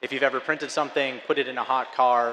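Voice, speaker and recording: Over noticeable background noise, a man talks at a fairly quick pace with an American accent. His intonation stays fairly even. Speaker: filament company representative. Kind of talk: conference presentation.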